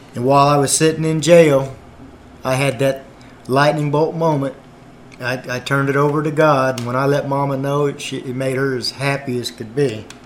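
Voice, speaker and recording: A man's fairly high voice holds a monotone, flat intonation at a moderate pace while noticeable background noise plays behind it. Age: 50s. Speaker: gospel singer and former truck driver. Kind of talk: testimony.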